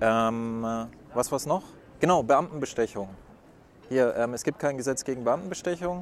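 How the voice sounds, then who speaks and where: A man at a medium pitch, lively in intonation, moving at a moderate pace with long, frequent pauses. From Würzburg, Franconia. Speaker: podcast host. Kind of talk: interview. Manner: hasty.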